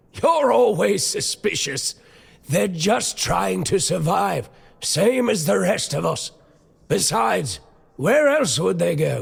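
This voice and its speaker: Putting on a raspy character voice, a man speaks at a fairly high pitch and a fairly slow pace. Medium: video game. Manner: plain-spoken, folksy.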